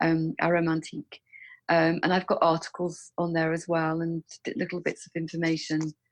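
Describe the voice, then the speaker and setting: With an English accent, a woman speaks at a moderate pace in a fairly low pitch, her intonation fairly even and the sound dry and close with no echo. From England. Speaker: author and aromatherapy specialist. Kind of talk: interview.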